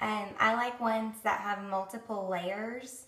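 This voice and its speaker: A woman with an American accent speaks with fairly even intonation amid audible room echo and noticeable background noise. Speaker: beauty vlogger. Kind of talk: tutorial. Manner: casual, chatty with many fillers.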